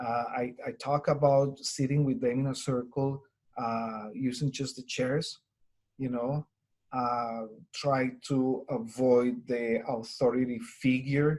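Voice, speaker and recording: In a strong Colombian accent, a man talks at a very slow pace with a medium pitch and monotone, flat intonation. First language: Spanish. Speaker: Spanish teacher. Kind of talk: webinar presentation. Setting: online webinar recording.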